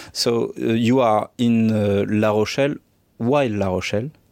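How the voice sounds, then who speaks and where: A man speaks fairly slowly in a strong French accent, his pitch fairly low. His tone is dark and mellow, and his intonation fairly even. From France. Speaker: podcast host. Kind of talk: scripted intro; interview. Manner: loud.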